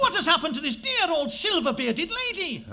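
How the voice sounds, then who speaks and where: A man puts on a squeaky character voice at an extremely high pitch. He talks at a fairly quick pace with very wide pitch swings. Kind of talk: comic overacting. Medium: stage play.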